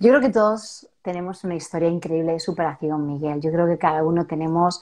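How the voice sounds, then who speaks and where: A woman with a plain, everyday voice, fairly low in pitch, at a fairly quick pace with ordinary pitch variation. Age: 40s. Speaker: self-help author. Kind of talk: interview testimony.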